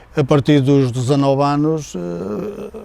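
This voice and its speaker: Noticeable background noise accompanies a man speaking at a medium pitch and a very slow pace. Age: 60s. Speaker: former footballer. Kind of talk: interview testimony. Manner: halting, many fillers.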